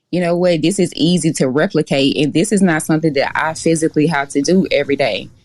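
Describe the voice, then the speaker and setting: A woman with a Mississippi accent, very deep and low in pitch, animated in tone, very fast in pace and very even in loudness. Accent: Southern US (Mississippi). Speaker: dispatch company owner. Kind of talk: podcast interview.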